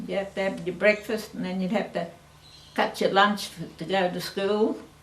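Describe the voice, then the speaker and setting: A woman with a medium pitch speaks in a monotone, flat intonation, over noticeable background noise and audible room echo. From Australia, French Island, Victoria. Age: 80s+. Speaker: family elder. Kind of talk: oral history interview.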